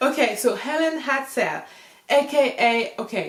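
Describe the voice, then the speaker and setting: A woman with a French accent, over noticeable background noise. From France. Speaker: YouTuber talking about self-help figures. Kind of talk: casual talk to camera with notes. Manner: casual, talks informally with fillers.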